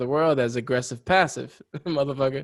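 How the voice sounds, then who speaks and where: This man speaks with a New York accent. His voice is fairly high and his intonation fairly even. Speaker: podcast co-host. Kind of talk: casual chat.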